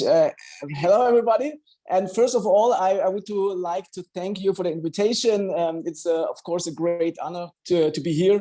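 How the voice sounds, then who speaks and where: This man speaks with a German accent at a fairly quick pace. His voice is high-pitched for a man, with ordinary pitch variation. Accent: non-native English, German-speaking. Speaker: doctor. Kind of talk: online health talk. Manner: halting, with many fillers.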